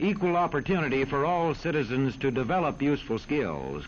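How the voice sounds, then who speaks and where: Over noticeable background noise, a man talks at a fairly quick pace in a fairly high pitch. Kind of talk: educational film narration.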